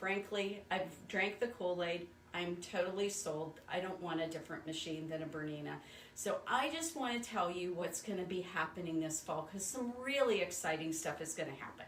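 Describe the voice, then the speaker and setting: A woman's fairly low voice at a moderate pace with ordinary pitch variation, amid noticeable background noise and audible room echo. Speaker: sewing machine store owner. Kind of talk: live stream sales talk.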